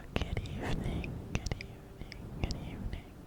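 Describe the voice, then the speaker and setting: With noticeable background noise behind it, the whispering moves at a moderate pace. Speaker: ASMR creator. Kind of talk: ASMR educational talk. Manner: whispered.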